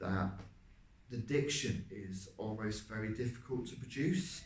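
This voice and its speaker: Speaking at a fairly slow pace with vocal fry, a man is heard with audible room echo. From Ireland. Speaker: actor. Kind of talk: casual talk about acting. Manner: hesitant, many fillers.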